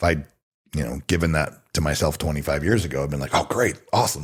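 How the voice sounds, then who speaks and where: This man speaks at a fairly quick pace. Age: 40s. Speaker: actor and stuntman. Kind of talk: casual chat.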